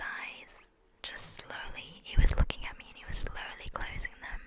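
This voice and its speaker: A woman is whispering over noticeable background noise. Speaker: ASMR creator. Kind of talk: personal story about losing a pet. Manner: slow, emotional, halting.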